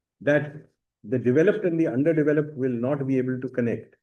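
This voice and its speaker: A man talks at a very fast pace in a fairly high pitch. His pitch varies in an ordinary way, and the room echo is audible. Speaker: university lecturer. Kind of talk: lecture.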